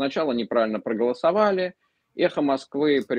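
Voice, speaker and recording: A man speaks at a fairly quick pace, with a dry sound, no echo and a quiet background. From Russia. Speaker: former TV journalist, panelist; talk show guest. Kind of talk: live political discussion. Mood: indignant, critical. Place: home room. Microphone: video call.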